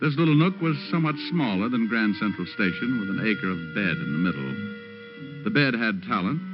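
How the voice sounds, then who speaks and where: A man with a medium-pitched voice swings his pitch very widely over background music. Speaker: private detective narrator. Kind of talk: old-time radio drama narration. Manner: wisecracking, hard-boiled.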